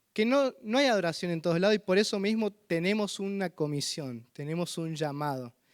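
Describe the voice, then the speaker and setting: A man speaks with a San Luis accent. His pitch is high. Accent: drawling San Luis. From Argentina, San Luis. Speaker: visiting missionary preacher. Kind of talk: sermon. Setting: church.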